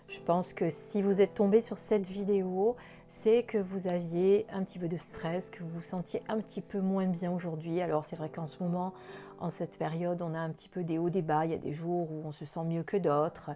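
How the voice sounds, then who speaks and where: Over music in the background, a woman with a slight southern French accent talks at a moderate pace with fairly even intonation. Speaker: spiritual card reader. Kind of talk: daily oracle card reading. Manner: gentle, soothing; hesitant with fillers.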